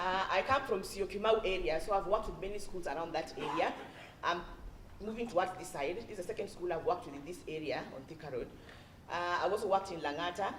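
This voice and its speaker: Speaking very fast with a Kenyan accent, a woman at medium pitch sounds animated, her pitch varying in an ordinary way and her loudness swinging widely, with noticeable background noise and audible room echo. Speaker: education consultant, former teacher. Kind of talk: parent workshop talk.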